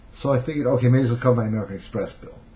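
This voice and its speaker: This is a man's voice. He speaks with a Brooklyn accent. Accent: Brooklyn New York. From New York City (Brooklyn). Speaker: self-help seduction coach. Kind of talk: storytelling monologue. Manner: casual, conversational.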